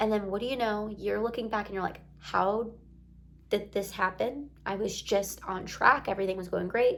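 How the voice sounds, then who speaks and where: A woman speaks in a monotone, flat intonation with vocal fry. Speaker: life coach and self-development vlogger. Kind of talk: casual motivational talk to camera. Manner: lower energy than usual.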